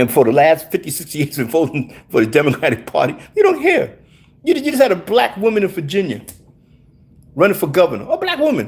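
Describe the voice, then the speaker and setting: At a fairly quick pace, a man talks with vocal fry and very wide pitch swings. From New York City (South Bronx). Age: 60s. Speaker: livestreamer. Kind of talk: political rant. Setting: livestream. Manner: animated.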